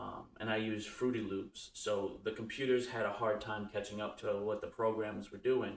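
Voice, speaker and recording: A man at a moderate pace, fairly low in pitch, monotone and flat, with hardly any pauses. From US Northeast, New Bedford, Massachusetts. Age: 30s. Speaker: podcast host. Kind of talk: casual monologue.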